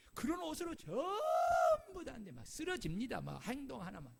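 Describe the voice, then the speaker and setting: Through noticeable background noise, a man speaks at a moderate pace with very wide pitch swings. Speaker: pastor. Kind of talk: sermon. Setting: church. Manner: animated.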